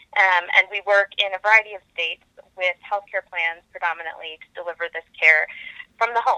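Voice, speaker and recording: With an American accent, a woman talks in a bright, sharp tone and fairly even intonation, recorded with a dry, close sound and no echo. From US Midwest, metro Detroit, Michigan. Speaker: health tech company co-founder and CEO. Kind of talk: interview.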